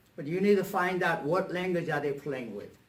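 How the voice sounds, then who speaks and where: A man's voice with audible echo from the room. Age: 70s. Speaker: motivational speaker and coach. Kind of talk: talk to a club meeting.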